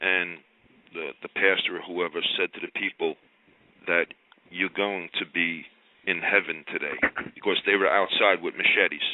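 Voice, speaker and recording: At a moderate pace, a man delivers his speech. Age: 60s. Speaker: caller. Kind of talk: testimony. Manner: halting.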